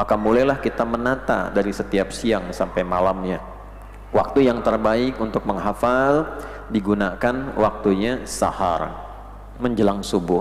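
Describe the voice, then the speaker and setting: A man speaks at a fairly slow pace with ordinary pitch variation. Noticeable background noise is present. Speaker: Islamic preacher / religious lecturer. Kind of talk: Islamic lecture (kajian) on memorization tips. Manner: instructive, clear lecturing pace.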